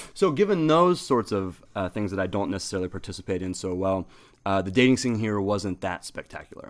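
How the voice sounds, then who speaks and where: Speaking with an American accent, a man with an unremarkable speaking voice talks at a fairly quick pace in a fairly low pitch with ordinary pitch variation. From southern Ohio, small town. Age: 30s. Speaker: philosophy graduate student. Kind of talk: casual chat. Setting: home.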